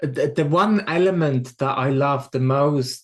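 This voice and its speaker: Against a quiet background, a man with a Swiss accent speaks very slowly at a medium pitch. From Switzerland. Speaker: spiritual medium. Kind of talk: podcast interview. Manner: repeats words, halting starts.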